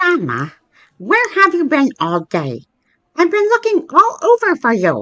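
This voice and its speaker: A squeaky, cartoonish character voice speaks at a fairly slow pace. The sound is dry and close, with no echo. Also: woman, extremely high pitch for a woman. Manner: curt.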